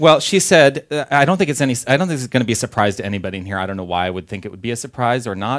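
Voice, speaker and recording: A man with an American accent speaks at a medium pitch with lively intonation over noticeable background noise. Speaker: minister. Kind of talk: sermon. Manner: casual, conversational.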